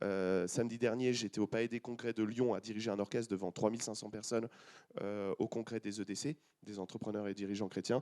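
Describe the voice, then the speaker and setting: Flat and monotone, a man with a dark, mellow tone and fairly low pitch talks at a fairly quick pace. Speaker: film composer and conductor. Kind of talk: panel discussion.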